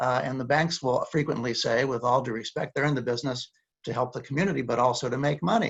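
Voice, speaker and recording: A man at a very fast pace, with ordinary pitch variation. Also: medium pitch for a man. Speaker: community lender representative. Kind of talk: panel discussion.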